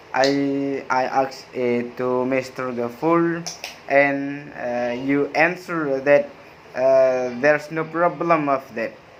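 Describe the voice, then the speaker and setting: A man with a Madura accent, fairly high-pitched, very slow, with fairly even intonation over noticeable background noise. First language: Madurese. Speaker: university student. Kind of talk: class review presentation. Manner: halting, frequent hesitations.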